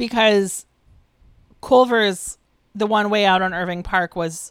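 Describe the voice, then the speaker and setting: A woman with an American accent, moderate pace and ordinary pitch variation. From US Midwest. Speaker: podcast co-host. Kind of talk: casual chat.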